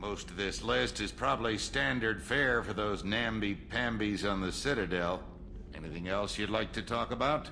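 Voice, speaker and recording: Over clear background noise, a man puts on a gruff character voice, fairly low in pitch, at a moderate pace. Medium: video game. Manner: blunt, coarse, gruff.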